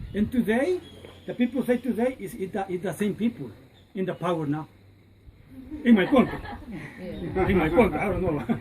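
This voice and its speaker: A woman of medium pitch talks at a moderate pace with very wide pitch swings. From Honduras. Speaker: tour guide. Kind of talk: guided tour talk.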